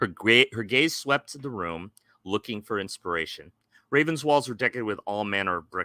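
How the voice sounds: Quiet surroundings behind a natural reading voice full of lively intonation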